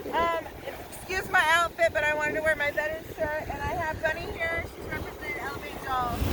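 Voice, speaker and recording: Over noticeable background noise, a woman with an extremely high pitch speaks in a raised, projected voice at a fairly quick pace with fairly even intonation. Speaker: veteran, outreach representative. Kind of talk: promotional announcement. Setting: outdoors at the beach.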